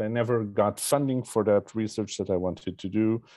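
A dark, mellow tone in a Portuguese accent with ordinary pitch variation over a quiet background. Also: man. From Portugal. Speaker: historian and professor; professor. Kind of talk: panel remarks. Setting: video call. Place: home room. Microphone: earbuds.

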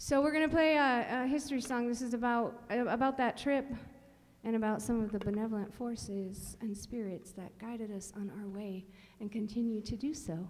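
A woman speaks at a moderate pace. Her pitch varies in an ordinary way. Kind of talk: stage banter introducing a song. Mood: warm, cheerful. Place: stage. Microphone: studio mic.

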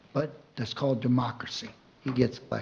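A man's voice with audible room echo. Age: 70s. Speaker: public commenter. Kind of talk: public comment at council meeting. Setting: city council meeting.

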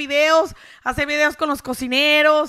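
A raised, projected voice with a bright, sharp tone, fairly even intonation and a moderate pace, over a quiet background. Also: woman. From rural Mexico. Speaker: social media content creator. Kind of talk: casual interview. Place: studio. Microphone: handheld.

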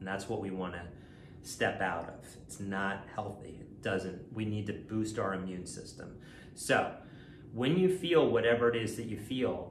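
A man speaks at a fairly low pitch, somewhat breathy, with ordinary pitch variation. Audible room echo and light background noise are present. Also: moderate pace. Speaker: coach. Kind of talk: calm self-help talk to camera. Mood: calm, reassuring. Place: kitchen. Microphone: phone near.

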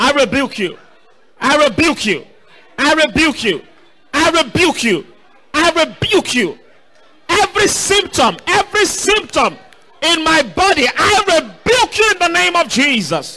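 A man's extremely high, raised and projected voice, animated in tone, with very wide pitch swings, very even loudness, a fairly slow pace and long, frequent pauses. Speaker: preacher. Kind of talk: sermon with call-and-response prayer. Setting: church service streamed online. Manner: commanding, urging the audience to stand, lift hands and pray aloud. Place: church. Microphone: handheld.

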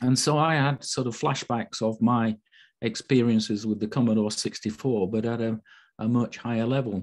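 A man with a Yorkshire accent talks at a moderate pace and medium pitch. His pitch variation is ordinary, and the background is quiet. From Yorkshire, Sheffield. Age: 60s. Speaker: physicist. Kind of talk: online talk. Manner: halting, many fillers.

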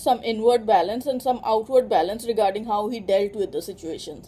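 A woman's dark, mellow voice at a fairly quick pace. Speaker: tarot reader. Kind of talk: tarot reading for a client. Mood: calm, reassuring. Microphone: phone near.

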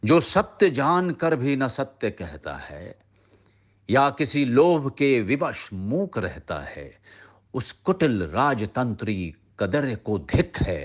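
A man's vocal fry with very wide pitch swings over a quiet background. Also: medium pitch for a man, big swings in loudness. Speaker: actor. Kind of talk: poetry reading.

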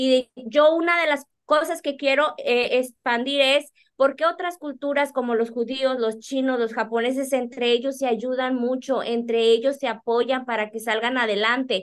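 A woman reads at a fairly slow pace with a high pitch and hardly any pauses. The background is quiet. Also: fairly even intonation. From Monterrey, Nuevo León, Mexico. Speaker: accountant and business owner; guest. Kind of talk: interview. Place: office. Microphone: video call.

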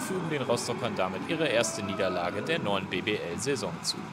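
A man's energetic voice at a moderate pace with very wide pitch swings, music in the background. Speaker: basketball commentator. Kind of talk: sports highlights commentary, voiceover recap. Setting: studio voiceover over game footage. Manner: brisk, energetic play-by-play delivery; rattles off stats and names in a flow.

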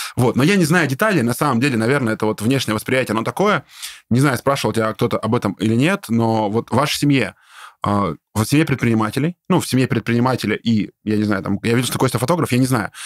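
Dry and close with no echo, a man talks at a very fast pace with lively intonation and very even loudness. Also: medium pitch for a man, very clean recording, silent background. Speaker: business podcast host. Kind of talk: casual interview. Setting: studio. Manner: animated.

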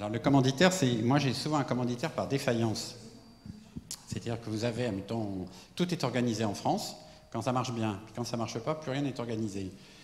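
A man's voice with long, frequent pauses and ordinary pitch variation, light background noise and audible room echo. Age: 70s. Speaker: architect. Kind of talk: lecture. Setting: stage with audience. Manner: halting. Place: hall. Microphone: handheld.

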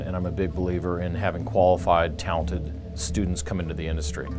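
A man with a very deep, low pitch speaks fairly quickly while music plays behind him. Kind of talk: interview answer. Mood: positive, enthusiastic. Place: studio.

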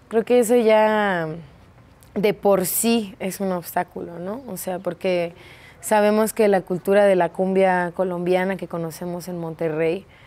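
A woman's dark, mellow voice, fairly slow and fairly even in intonation, with big swings in loudness. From Escobedo, Nuevo León, northeast Mexico. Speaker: performer, dancer and theatre teacher. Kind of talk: interview answer. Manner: casual, colloquial. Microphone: lapel.

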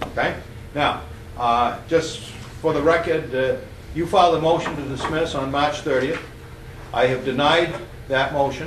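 A man talks at a fairly high pitch with fairly even intonation, leaving long, frequent pauses. Audible room echo and light background noise surround him. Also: moderate pace. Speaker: judge. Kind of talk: courtroom proceedings. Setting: courtroom. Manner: calm. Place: hall. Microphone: camera far.

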